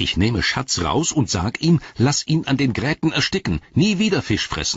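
A man puts on a character voice with a husky, rough edge, big pitch swings and a moderate pace. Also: medium pitch for a man.

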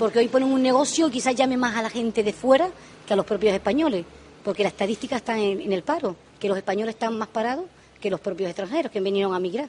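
Her fairly high pitch carries ordinary variation as the woman moves at a fast pace with few pauses and a slightly mellow tone.

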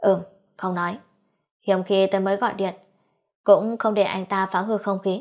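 The voice reads in an unforced way. Behind it, all is quiet.

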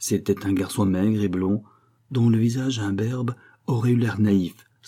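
What we hear is a natural reading voice.

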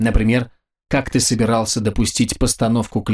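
An unforced reading voice is heard, with a quiet background behind it.

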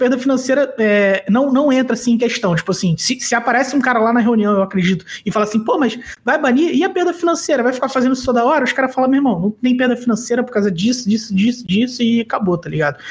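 Speaking very fast with hardly any pauses, a man uses an extremely high pitch, ordinary pitch variation, and very even loudness. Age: 30s. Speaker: card game commentator. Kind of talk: casual chat.

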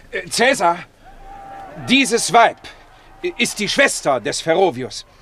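A man puts on a character voice, pitched high with big swings, bright and sharp in tone, and he speaks slowly.

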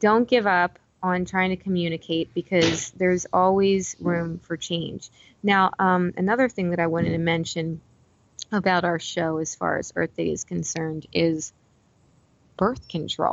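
Soft-spoken and fairly low-pitched, a woman speaks at a fairly slow pace with fairly even intonation. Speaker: podcast co-host. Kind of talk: casual chat. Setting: phone call from library lobby.

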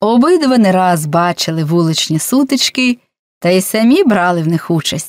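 Lively intonation in an unforced reading voice, set against a quiet background.

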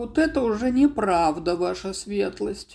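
A put-on character voice at middle pitch and moderate pace. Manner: mock-offended, clowning.

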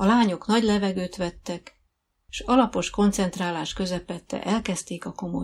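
The background stays quiet while a speaker reads aloud in a natural voice.

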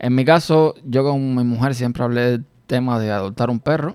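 Medium-pitched male voice at a moderate pace, ordinary pitch variation, very clean recording with a silent background. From Cuba, rural village. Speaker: podcast host. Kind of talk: personal monologue. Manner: hesitant, with fillers and repetitions.

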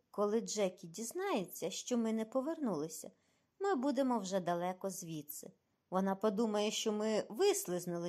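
The voice is plain reading aloud with lively intonation against a quiet background.

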